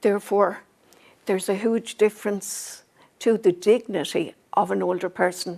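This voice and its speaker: A woman's medium-pitched voice with an Irish accent, dark and mellow with vocal fry, fairly even intonation and a moderate pace. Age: old. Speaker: older shopper. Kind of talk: video interview.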